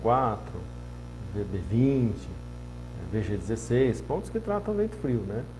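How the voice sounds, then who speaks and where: A somewhat breathy man with a dark, mellow tone, at a fairly slow pace, in audible room echo. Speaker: acupuncturist and Chinese medicine teacher. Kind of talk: informal lecture. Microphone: poorly positioned microphone.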